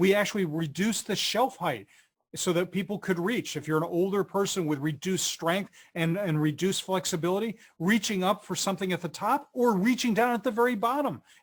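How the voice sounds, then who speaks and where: A man with an American accent and a high pitch talks at a fairly quick pace with ordinary pitch variation, in a very clean recording with a silent background. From US Northeast, Philadelphia. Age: 50s. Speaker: research director and author. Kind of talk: webcast interview.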